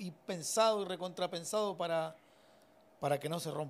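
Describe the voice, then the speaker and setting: With ordinary pitch variation and a moderate pace, a man talks in a high register. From Argentina. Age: 40s. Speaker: mechanic and drag racing builder; podcast guest. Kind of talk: casual interview chat. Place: home room. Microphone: studio mic.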